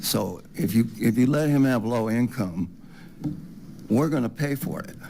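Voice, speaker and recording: Speaking at a fairly slow pace, a man has a medium pitch, a dark, mellow tone and lively intonation. Room echo is audible. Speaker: public commenter. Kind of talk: public comment. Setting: city council meeting.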